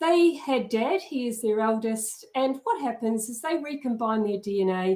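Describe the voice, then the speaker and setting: At a moderate pace, the speaker's pitch swings very widely in a New Zealand accent. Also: woman. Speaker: genealogy educator. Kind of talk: lecture. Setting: live video stream.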